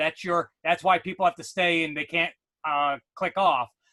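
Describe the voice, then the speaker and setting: In a New York accent, a man with a high pitch speaks with fairly even intonation. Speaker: educational technology consultant. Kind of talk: webinar tutorial.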